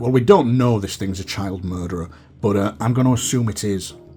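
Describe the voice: Pitch moves in an ordinary way. The words come as plain reading aloud.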